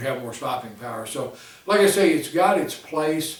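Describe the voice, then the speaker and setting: A man's voice with ordinary pitch variation, over noticeable background noise and audible room echo. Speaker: gun reviewer. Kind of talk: product review. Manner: casual, filler-heavy.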